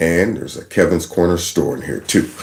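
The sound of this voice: There is vocal fry in this man's voice as he talks at a fairly quick pace.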